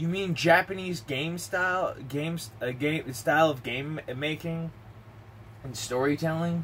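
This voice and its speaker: A man speaks at a fairly slow pace, his pitch varying in an ordinary way, with light background noise underneath. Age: 30s. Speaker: gaming vlogger. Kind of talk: casual monologue. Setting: home recording. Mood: relaxed, chatty. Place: home room. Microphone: webcam.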